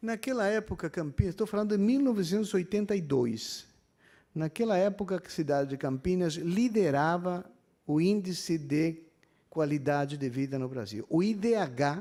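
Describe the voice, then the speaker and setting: The recording is very clean with a silent background, carrying a dark, mellow voice in an Argentine accent at a moderate pace with lively intonation. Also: man, high pitch for a man. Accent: foreign accent in Portuguese, Argentine. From Argentina, Buenos Aires. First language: Spanish (speaking Portuguese). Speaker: university professor. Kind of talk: public hearing speech. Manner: hesitant, many fillers.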